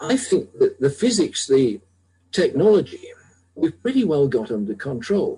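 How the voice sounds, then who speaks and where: Speaking at a fairly slow pace, a man with a British accent has a high pitch and very wide pitch swings. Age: 70s. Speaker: medical technology developer. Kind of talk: radio interview.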